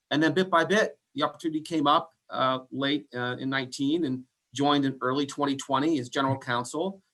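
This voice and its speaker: In a bright, sharp tone, a man speaks with a fairly high pitch and fairly even intonation. His pace is fairly quick. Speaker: attorney and company CEO. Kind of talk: interview.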